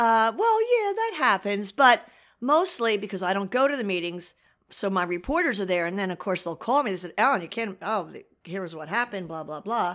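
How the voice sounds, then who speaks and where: A woman with a New Jersey accent talks at a fairly quick pace, her medium-pitched voice carrying lively intonation. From Asbury Park, New Jersey. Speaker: local newspaper editor. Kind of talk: interview.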